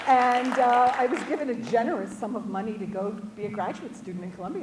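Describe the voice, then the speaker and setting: Amid crowd noise and audible room echo, a woman with an American accent speaks at a fairly high pitch with very wide pitch swings. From New York City, Brooklyn. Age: 60s. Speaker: English professor. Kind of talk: lecture. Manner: halting, many fillers and repeats.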